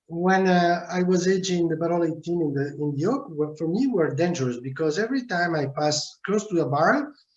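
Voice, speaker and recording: A man speaks in an Italian accent at a high pitch. He leaves hardly any pauses. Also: lively intonation, fairly quick pace. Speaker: winemaker. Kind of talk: video call interview. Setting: video call. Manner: halting.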